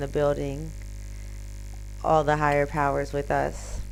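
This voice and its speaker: Against background music and audible room echo, a woman talks with an American accent. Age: 30s. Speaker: live streamer. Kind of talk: casual live stream chat.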